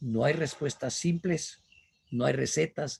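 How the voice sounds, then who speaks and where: Speaking at a fairly slow pace, a man with a fairly high pitch uses lively intonation and some vocal fry. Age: 70s. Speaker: business speaker. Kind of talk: lecture.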